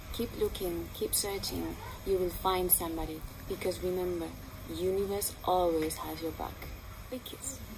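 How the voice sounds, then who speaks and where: Noticeable background noise runs under the recording. A woman speaks at a moderate pace with a non-native accent. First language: not English. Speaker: spiritual healer and channeler. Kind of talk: promotional monologue to camera. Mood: warm, earnest, encouraging. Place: garden.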